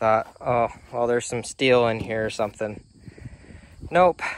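A man's fairly even intonation in a dry sound with no echo. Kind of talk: casual vlog chat. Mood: wry, self-deprecating. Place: garden. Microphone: phone near.

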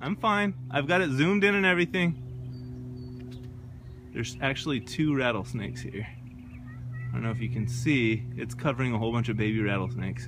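With an American accent, a man talks at a fairly quick pace in a dry sound with no echo, noticeable background noise behind him. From Moab, Utah. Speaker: parent filming wildlife. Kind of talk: casual filming commentary. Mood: startled amazement. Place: street. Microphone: phone near.

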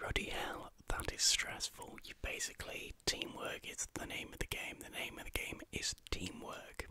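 A man whispers at a moderate pace with hardly any pauses, and his loudness swings widely. Light background noise can be heard. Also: dry sound with no echo. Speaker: vlogger. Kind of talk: casual vlog chat. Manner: whispered, wry exasperation. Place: home room. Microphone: studio mic.

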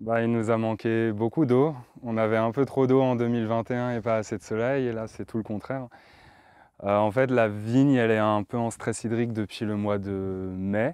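Against a quiet background with a dry sound and no echo, a man speaks at a fairly slow pace with fairly even intonation. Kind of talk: interview answer. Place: open country.

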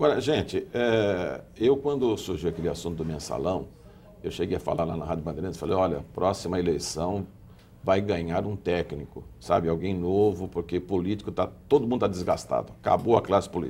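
Over light background noise, a man with a very deep, low pitch talks at a moderate pace with ordinary pitch variation. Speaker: TV host. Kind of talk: televised political panel discussion. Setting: TV studio. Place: studio. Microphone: lapel.

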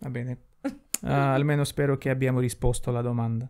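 With a Russian accent, a man speaks at a fairly quick pace in a fairly high pitch. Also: quiet background. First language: Russian (speaking Italian). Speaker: YouTuber; podcast co-host. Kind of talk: casual chat. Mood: playful, joking. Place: home room. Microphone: handheld.

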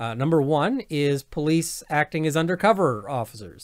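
Against a quiet background, a man with a Canadian accent talks at a fairly high pitch. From Canada. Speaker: lawyer and video commentator; lawyer, video commentator. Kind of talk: legal commentary monologue. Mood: opinionated, venting. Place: home room. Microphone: webcam.

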